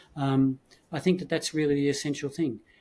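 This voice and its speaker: A man with a fairly high pitch sounds somewhat breathy, and his pitch varies in an ordinary way. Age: 70s. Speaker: automotive industry executive and consultant. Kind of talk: interview conversation.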